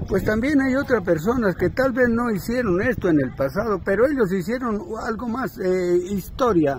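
This man's high-pitched voice moves at a moderate pace with lively intonation and hardly any pauses. The sound is dry with no echo, over light background noise. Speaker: interviewer, local video host. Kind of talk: casual interview questions. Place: street. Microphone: phone near.

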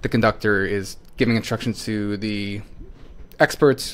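Here a man speaks with fairly even intonation. His voice is fairly low in pitch. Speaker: presenter. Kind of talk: tutorial. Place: home room.

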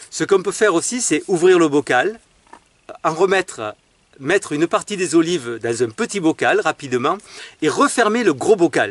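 A man's fairly slow speech with very wide pitch swings and a dry sound with no echo. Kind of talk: tutorial. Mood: cheerful, enthusiastic. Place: garden. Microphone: phone near.

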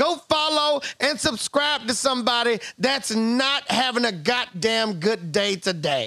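A man speaks in a raised, projected voice with lively intonation. His pace is fairly slow, and the background is quiet. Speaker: game show contestant streamer. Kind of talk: casual stream banter. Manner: drunken rambling speech. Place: home room.

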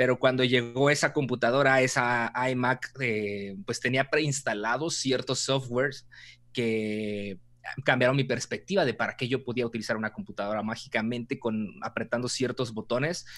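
At a moderate pace, the speaker uses a Mexican accent and ordinary pitch variation. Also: man, medium pitch for a man. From Mexico. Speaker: content creator and storytelling expert; content creator. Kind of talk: interview conversation. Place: home room. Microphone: video call.

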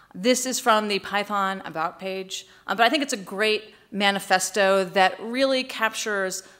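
A woman with an American accent speaks at a moderate pace with ordinary pitch variation. Her tone is bright and sharp against a quiet background. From United States. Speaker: tech executive and keynote speaker; keynote speaker. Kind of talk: conference keynote. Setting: stage with audience. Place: hall. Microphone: podium.

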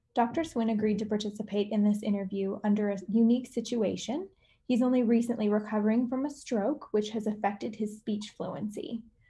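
A woman's fairly high voice, dark and mellow in tone, somewhat breathy, with fairly even intonation. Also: fairly quick pace. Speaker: interviewer. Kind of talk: interview.

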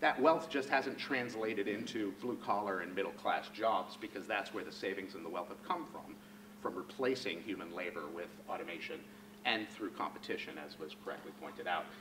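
Over noticeable background noise, a man talks at a fairly quick pace with a fairly low pitch, lively intonation and big swings in loudness. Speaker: economist; speaker. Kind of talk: lecture. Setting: stage with audience. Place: hall.

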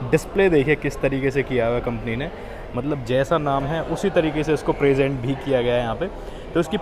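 A man speaks at a moderate rate, his intonation fairly even, with background noise noticeable behind him. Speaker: car reviewer. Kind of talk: product review commentary. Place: shop. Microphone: phone near.

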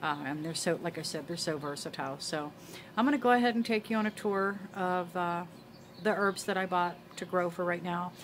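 A woman talks at a fairly quick pace with ordinary pitch variation. Light background noise sits behind her. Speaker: homesteading vlogger. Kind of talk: casual vlog chat. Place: garden. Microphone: phone near.

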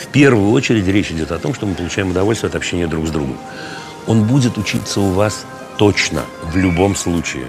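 Clear music plays behind a man who speaks at a fairly low pitch and a fairly quick pace. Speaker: interviewee. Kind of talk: interview answer. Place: cafe. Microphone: lapel.

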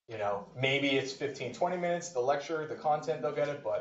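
At a moderate pace, a man speaks in a fairly high voice. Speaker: university professor giving workshop. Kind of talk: workshop presentation. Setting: stage with audience. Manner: loud.

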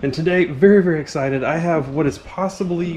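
Over light background noise, a man speaks with ordinary pitch variation. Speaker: RC hobby channel host. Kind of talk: casual vlog chat. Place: garage. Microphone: phone near.

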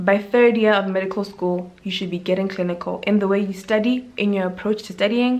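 At a fairly quick pace, a woman with a medium pitch speaks in a monotone, flat intonation. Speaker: medical intern and YouTuber. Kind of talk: vlog monologue. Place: home room. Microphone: phone near.

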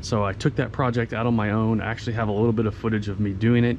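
Over light background noise, a man rattles along at a very fast pace with monotone, flat intonation. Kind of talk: casual walk-around explanation. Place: street. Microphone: phone near.

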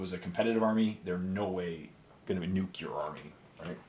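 A man with a Canadian accent speaks at a moderate pace in a very deep, low voice. The room echo is audible and there is light background noise. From Canada. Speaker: miniature painting YouTuber. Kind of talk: casual solo talk while painting. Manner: animated. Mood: relaxed, opinionated.

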